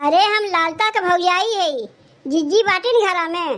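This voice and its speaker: A woman uses a cartoonish character voice at an extremely high pitch. She talks at a fairly slow pace with ordinary pitch variation. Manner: confiding, insinuating.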